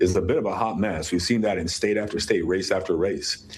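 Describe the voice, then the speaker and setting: There is audible room echo as a man with an American accent speaks at a fairly quick pace. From US. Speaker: politician. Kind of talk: interview. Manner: animated.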